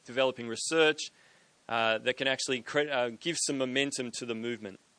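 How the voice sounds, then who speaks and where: A man speaks at a moderate pace with an Australian accent, his pitch medium and its variation ordinary. His tone is bright and sharp, and the background is quiet. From Australia, Sydney. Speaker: ministry director, event organizer. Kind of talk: event hosting and announcements.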